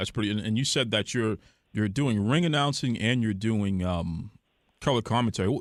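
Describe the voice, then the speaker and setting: On a very clean recording with a silent background, a man with a plain, everyday voice talks at a fairly quick pace, his medium pitch showing ordinary variation and his loudness very even. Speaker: podcast host. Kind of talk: podcast interview questions.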